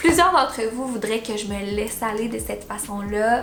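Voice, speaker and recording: With a Quebec accent, a woman talks at a fairly high pitch amid audible room echo and noticeable background noise. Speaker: YouTuber. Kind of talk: vlog monologue. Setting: in front of camera. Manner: careful, deliberate delivery.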